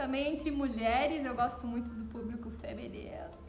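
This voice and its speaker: This woman has a southern Brazilian accent and a warm tone. Audible room echo and noticeable background noise fill the recording. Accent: gaúcho (southern Brazilian). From southern Brazil (Rio Grande do Sul). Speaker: pastor's wife giving a Bible reflection. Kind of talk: devotional Bible reflection. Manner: warm, conversational.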